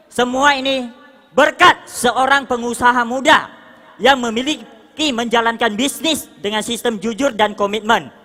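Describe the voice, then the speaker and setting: The speech has an animated tone and a fairly slow pace, with noticeable background noise behind it. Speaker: motivational speaker at business leadership seminar. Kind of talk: motivational stage speech. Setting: stage with audience. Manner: loud.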